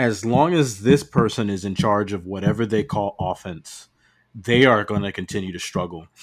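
Heard in a very clean recording with a silent background, a man with an American accent and a fairly low pitch speaks at a moderate pace in an ordinary speaking voice. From New Jersey (Piscataway). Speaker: college football podcast guest. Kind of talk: casual chat.

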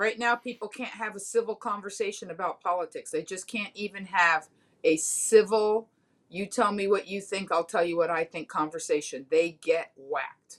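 A plain, everyday voice, moderately paced, its pitch varying in an ordinary way. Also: woman, medium pitch for a woman. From Miami, Florida. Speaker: comedian. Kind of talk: casual chat.

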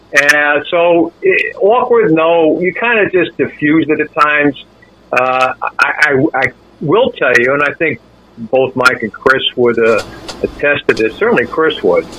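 Noticeable background noise surrounds a man speaking at a fairly slow pace. His pitch is fairly high and his intonation lively. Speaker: sports radio anchor. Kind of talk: casual chat.

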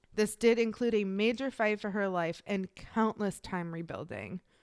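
An ordinary speaking voice from a woman, fairly high-pitched and fairly slow, on a very clean recording with a silent background. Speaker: podcast co-host.

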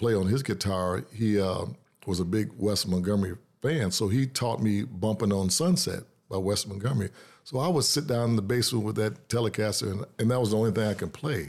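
Talking at a fairly quick pace with an American accent, a man shows ordinary pitch variation on a very clean recording with a silent background. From Detroit, Michigan. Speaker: blues guitarist. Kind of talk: interview.

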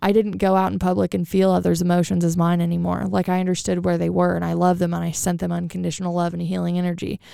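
A woman speaks fast with few pauses, in a fairly low pitch and a monotone, flat intonation. Her tone is dark and mellow with vocal fry, and the sound is dry and close with no echo.

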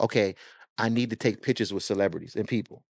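This man's delivery has an animated tone. The background is quiet, and the sound is dry and close with no echo. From Jamaica, moved to US at six. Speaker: record label owner and music marketing consultant. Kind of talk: casual interview chat.

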